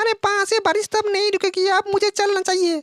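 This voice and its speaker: This cartoonish character voice sits extremely high and stays monotone and flat, moving at a moderate pace. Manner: excitable, complaining.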